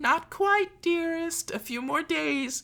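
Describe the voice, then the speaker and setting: A squeaky, put-on character voice at an extremely high pitch. It moves at a fairly slow pace. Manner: placating, feigning sweetness.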